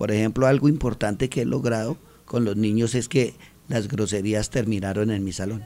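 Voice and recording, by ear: A man speaks at a fairly quick pace with a fairly low pitch. His tone is dark and mellow, and his intonation fairly even.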